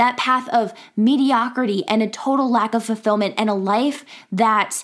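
An animated, enthusiastic woman speaks at a moderate pace in a fairly high pitch on a very clean recording with a silent background. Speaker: podcast host and professor. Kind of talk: pep talk. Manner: animated, high-energy, enthusiastic; warm, encouraging, chatty.

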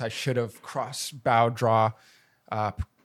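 On a very clean recording with a silent background, a man with a Canadian accent speaks at a moderate pace and medium pitch. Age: 30s. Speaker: outdoor filmmaker and YouTuber. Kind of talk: casual chat. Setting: in person.

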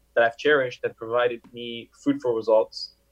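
Someone with a Montreal accent speaks at a moderate pace in a monotone, flat intonation. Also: man. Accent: Montreal anglophone Canadian English. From Montreal, Quebec (moved from Paris at seven). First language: French. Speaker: business consultant. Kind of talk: interview. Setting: video call.

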